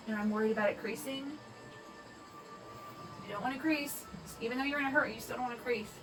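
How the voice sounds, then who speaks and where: Over music in the background, a woman talks at a very fast pace in a high pitch with ordinary pitch variation and long, frequent pauses. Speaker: makeup artist and beauty vlogger. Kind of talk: makeup tutorial talk to camera.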